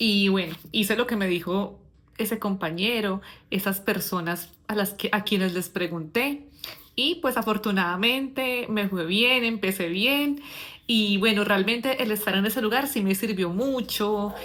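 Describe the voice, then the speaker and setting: A normal speaking voice moves at a fairly slow pace with ordinary pitch variation. The loudness stays very even. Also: woman, medium pitch for a woman. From Colombia. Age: 40s. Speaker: English teacher. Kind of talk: personal storytelling. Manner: casual, with filler words.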